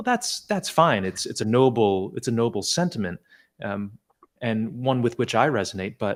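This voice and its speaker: A man speaks in a normal speaking voice at medium pitch, with lively intonation and a moderate pace. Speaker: podcast host. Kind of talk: interview questions in long-form conversation.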